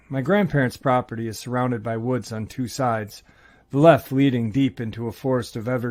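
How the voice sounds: Fairly even intonation in a natural reading voice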